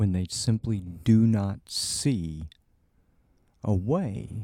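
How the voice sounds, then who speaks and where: A dark, mellow tone with ordinary pitch variation. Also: man. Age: 50s. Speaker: podcast host, doctor. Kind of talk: casual chat. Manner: halting.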